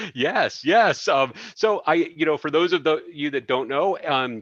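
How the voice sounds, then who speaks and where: A man speaks at a fairly slow pace in a plain, everyday voice with lively intonation. The background is quiet. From US Midwest, suburban Chicago. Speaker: podcast host. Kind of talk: interview.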